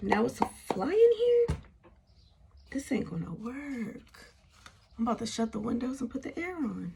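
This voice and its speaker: With noticeable background noise, a woman talks at a moderate pace in an animated tone, leaving long, frequent pauses. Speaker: tarot reader. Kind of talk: tarot reading. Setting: indoors, windows open. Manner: casual, animated.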